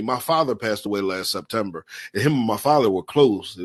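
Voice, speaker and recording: Over a quiet background, a man talks at medium pitch in an animated tone with lively intonation. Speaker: motivational speaker. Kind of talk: conference talk.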